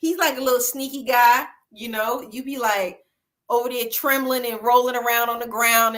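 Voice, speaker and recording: In a very clean recording with a silent background, the speaker talks at a fairly quick pace in a Southern US accent, with a bright, sharp and animated tone. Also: woman. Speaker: online talk show host. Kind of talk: casual chat.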